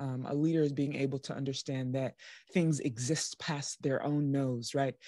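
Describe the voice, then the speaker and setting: Over a quiet background, a woman speaks with a very deep, low pitch in a dry sound with no echo. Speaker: podcast host. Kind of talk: podcast interview. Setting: video call. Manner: animated. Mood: warm, emotional, admiring. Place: home room. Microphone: studio mic.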